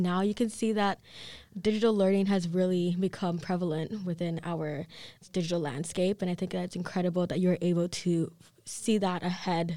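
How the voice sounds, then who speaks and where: On a very clean recording with a silent background, a woman speaks at a fairly quick pace with a fairly low pitch, a dark, mellow tone and ordinary pitch variation. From Kenya. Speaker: podcast host. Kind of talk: interview.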